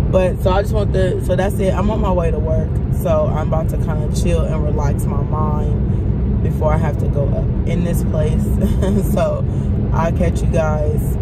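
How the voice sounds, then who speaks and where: A woman's voice at a moderate pace, with ordinary pitch variation, a dry sound with no echo, and loud background noise. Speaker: vlogger. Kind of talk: casual vlog chat. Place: car. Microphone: phone near.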